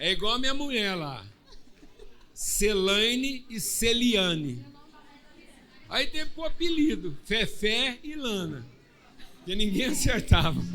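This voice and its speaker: A man with a high voice projects loudly at a very slow pace, his pitch swinging very widely and his speech broken by long, frequent pauses. Room echo is audible, and a crowd murmurs in the background. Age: 60s. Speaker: pastor. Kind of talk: church service hosting, casual joking; prayer.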